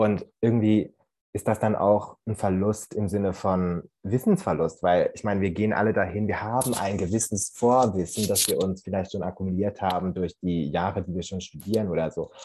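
Against a quiet background, a man speaks at a moderate pace with fairly even intonation. His voice is fairly low, with a dark, mellow tone. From Central Switzerland. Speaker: university student. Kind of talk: casual discussion.

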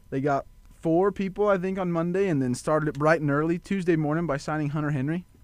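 A man with a Kansas accent, fairly high in pitch, at a very fast pace. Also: fairly even intonation. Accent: rural Kansas. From western Kansas, Goodland/Colby. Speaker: sports show guest. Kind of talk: casual sports talk.

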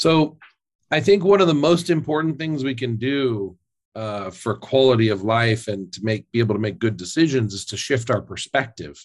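A normal speaking voice from a man at medium pitch, moderate pace and lively intonation, with big swings in loudness. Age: 30s. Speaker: fitness influencer and former lawyer. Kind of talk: interview. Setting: remote call.

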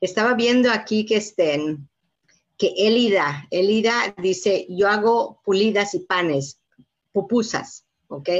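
At a very slow pace, a woman speaks at a medium pitch with lively intonation. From Mexico, Yucatán. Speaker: community leader, foundation president. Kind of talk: live interview. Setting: video call. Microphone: weak wifi connection.

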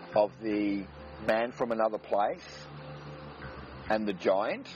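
A man talks very slowly, with noticeable background noise around him. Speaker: podcast host. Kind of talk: radio dj patter, smooth mellow spiritual-guide banter between tracks. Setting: radio-style show in a studio, playing music between segments. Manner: laid-back, relaxed, warm and cheerfully hippie-ish, rolling through music intros; wordy and esoteric, astrology and quantum talk, fluent, flowing delivery.

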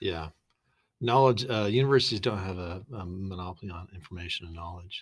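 A man with an American accent and a very deep, low pitch speaks fairly quickly in a somewhat breathy voice, with ordinary pitch variation and big swings in loudness, on a very clean recording with a silent background. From Boise, Idaho, US. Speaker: business co-founder. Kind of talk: casual interview.

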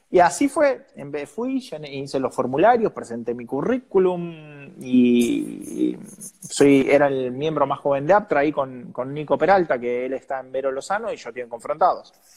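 A man speaks at a fairly slow pace in a fairly high voice, with ordinary pitch variation and big swings in loudness. It is a plain, everyday voice. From Argentina, San Nicolás de los Arroyos (Buenos Aires province). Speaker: journalist and TV presenter. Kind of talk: interview conversation.

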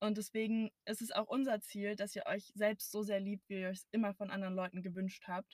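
The woman sounds somewhat breathy, with monotone, flat intonation and a dry, close sound with no echo. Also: medium pitch for a woman, moderate pace, hardly any pauses. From Brandenburg, Germany. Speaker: podcast co-host. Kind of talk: casual chat. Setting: in a car.

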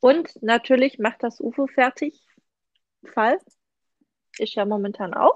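A woman with a high voice speaks at a very slow pace, leaving long, frequent pauses. Her pitch varies in an ordinary way, and the sound is dry and close with no echo. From Swabia, Germany. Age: 30s. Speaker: knitting podcast host. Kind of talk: casual chat.

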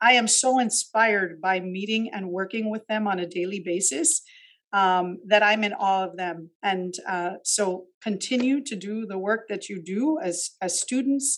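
In an American accent, a woman with an ordinary speaking voice talks at a fairly slow pace and medium pitch with ordinary pitch variation, over a quiet background. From Miami, Florida (Cuban American family). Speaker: university administrator. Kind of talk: interview.

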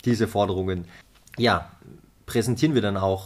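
Fairly even intonation at a moderate pace comes through on a very clean recording with a silent background. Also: man. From Austria, Vorarlberg. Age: 20s. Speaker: UN youth delegate and climate activist. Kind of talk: podcast interview. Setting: studio, face to face. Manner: hesitant, many filler sounds.

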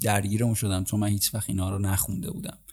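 Somewhat breathy and fairly low in pitch, a man speaks on a very clean recording with a silent background. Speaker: podcast host. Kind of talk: casual solo podcast monologue.

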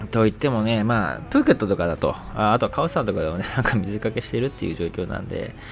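Speaking very fast, a man uses a fairly low voice. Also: ordinary pitch variation. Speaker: podcaster. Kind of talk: casual monologue.

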